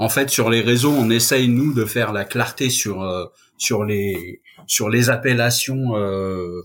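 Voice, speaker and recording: A man speaks at a very slow pace, with a medium pitch and ordinary pitch variation. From Paris suburbs, France. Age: 50s. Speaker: caregiver association founder. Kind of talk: podcast interview.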